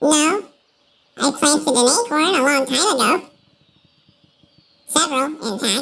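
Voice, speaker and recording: A put-on character voice speaks in a high pitch at a moderate pace. Long pauses come often. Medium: actual play. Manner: hesitant, halting, full of fillers.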